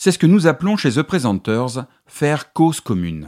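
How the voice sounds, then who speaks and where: On a very clean recording with a silent background, a man speaks at a moderate pace and a medium pitch. His voice has vocal fry and very wide pitch swings, the sound dry and close with no echo. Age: 50s. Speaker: podcast host and communication consultant. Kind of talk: solo podcast monologue giving advice. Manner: clear, structured delivery.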